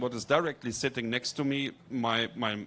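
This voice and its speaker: Here a man talks at a fairly quick pace in a normal speaking voice with ordinary pitch variation. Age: 50s. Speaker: architecture lecturer. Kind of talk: audience comment at panel discussion.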